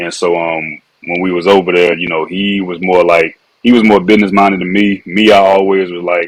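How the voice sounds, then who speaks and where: A man with a Louisiana accent, a very deep, low pitch, monotone, flat intonation and a fairly quick pace. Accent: Louisiana accent, noticeable. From Louisiana (Alexandria), then Fayetteville, North Carolina. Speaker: former pro football player, wine entrepreneur. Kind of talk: podcast interview.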